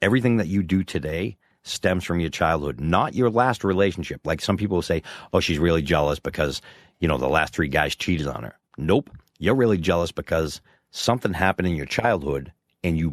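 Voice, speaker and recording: With vocal fry and a very deep, low pitch, a man talks at a fairly quick pace with lively intonation, in a dry, close sound with no echo and a very clean recording with a silent background. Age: 50s. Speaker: podcast co-host. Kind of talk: casual chat.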